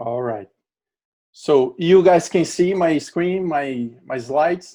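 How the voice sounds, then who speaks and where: With a strong Brazilian accent, a man talks very slowly in a fairly high voice, his intonation lively and his tone dark and mellow. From Brazil, Natal, Rio Grande do Norte. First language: Portuguese. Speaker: LinkedIn trainer. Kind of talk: webinar presentation.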